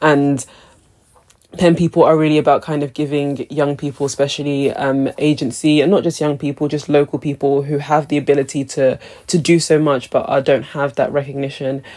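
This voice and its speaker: Talking fairly quickly, a woman uses a very deep, low pitch and a monotone, flat intonation. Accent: London. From London, England. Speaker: cultural strategist and creative director. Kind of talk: interview.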